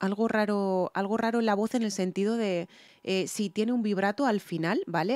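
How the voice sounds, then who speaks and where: A woman with a Spanish accent speaks at medium pitch and a moderate pace, her dark, mellow tone captured in a dry, close sound with no echo. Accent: Spanish (Spain). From Spain. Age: 40s. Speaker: singer and music reaction youtuber. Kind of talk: reaction video commentary. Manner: halting, many fillers and self-repairs.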